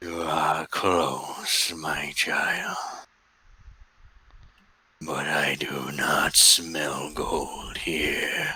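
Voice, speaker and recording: A man's raspy, put-on character voice at a very slow pace. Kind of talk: archaic, formal. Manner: mysterious, calm.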